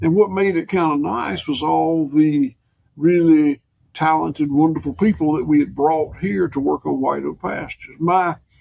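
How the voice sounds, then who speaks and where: At a moderate pace, a man speaks with a dark, mellow tone and a fairly high pitch. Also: ordinary pitch variation. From US South, rural Georgia. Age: 60s. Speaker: farmer. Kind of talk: interview conversation.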